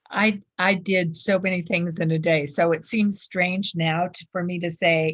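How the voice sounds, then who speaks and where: A woman with a fairly low pitch speaks at a fairly slow pace. Her voice is somewhat breathy, with fairly even intonation. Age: 70s. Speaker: food addiction recovery speaker. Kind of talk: interview.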